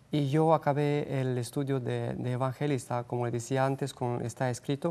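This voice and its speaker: A man speaks with a Romanian accent and a dark, mellow tone. His intonation is fairly even and his pace moderate. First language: Romanian (speaking Spanish). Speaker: missionary; guest. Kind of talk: interview. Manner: halting. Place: studio. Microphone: lapel.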